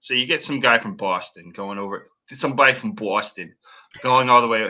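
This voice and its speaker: With an American accent, a man talks at a moderate pace in a bright, sharp tone. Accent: slight New England accent, usually hidden. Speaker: podcast host. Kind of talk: casual chat.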